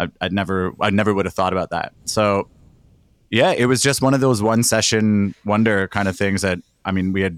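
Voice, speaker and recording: Speaking very fast with fairly even intonation, a man with a fairly low voice is heard in a dry, close sound with no echo and a very clean recording over a silent background. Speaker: band member and podcast host. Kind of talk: casual chat. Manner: joking.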